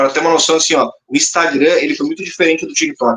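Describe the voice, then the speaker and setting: In a southern Brazilian accent, a man speaks at a very fast pace with lively intonation. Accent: gaúcho Brazilian Portuguese. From Rio Grande do Sul, southern Brazil. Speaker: spiritist comedian and content creator. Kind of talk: podcast interview. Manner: animated.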